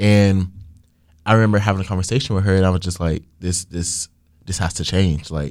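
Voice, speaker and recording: The tone is dark and mellow, with fairly even intonation. The recording is very clean, with a silent background. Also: man. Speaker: student government president. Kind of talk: casual chat. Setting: studio.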